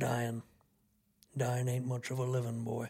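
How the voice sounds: Putting on a character voice, a man speaks at a medium pitch and a fairly slow pace. His intonation stays flat and monotone.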